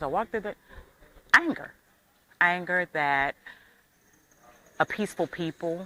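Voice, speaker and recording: A woman talks very slowly with an American accent. Her tone is bright and sharp, with a dry, close sound and no echo. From US, Michigan. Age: 60s. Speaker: tourist. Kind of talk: interview.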